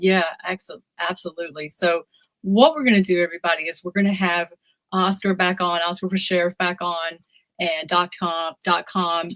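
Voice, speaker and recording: In a Southern US accent, a woman with a fairly low pitch speaks at a moderate pace with fairly even intonation, the sound dry and close with no echo. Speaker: political interviewer. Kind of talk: interview.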